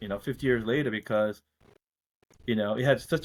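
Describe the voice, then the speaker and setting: Here a man speaks in an ordinary speaking voice at medium pitch with ordinary pitch variation. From Korea, moved to US at eight. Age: 50s. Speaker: finance executive. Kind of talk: interview. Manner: casual, many fillers.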